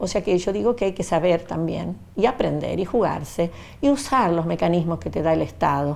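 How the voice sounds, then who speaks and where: At a moderate pace, a woman speaks in a dark, mellow tone at medium pitch with lively intonation. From Argentina, Rafaela, Santa Fe province. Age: 70s. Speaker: retired social worker, witness. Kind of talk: testimony. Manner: halting, with fillers.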